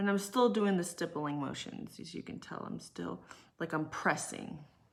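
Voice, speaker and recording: The speaker has an American accent, talks at a moderate pace, and shows ordinary pitch variation. There is vocal fry, and the loudness swings widely. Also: woman, fairly low pitch for a woman. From California. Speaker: makeup artist and aesthetician. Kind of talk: live makeup tutorial. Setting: livestream at home. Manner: casual, filler-heavy.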